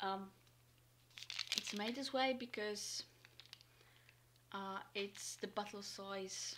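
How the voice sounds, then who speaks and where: This woman talks at a very slow pace with long, frequent pauses, using a medium pitch, fairly even intonation and a non-native accent. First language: not English. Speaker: military ration reviewer streamer. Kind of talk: live stream taste test. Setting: home room live stream. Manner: hesitant, many fillers.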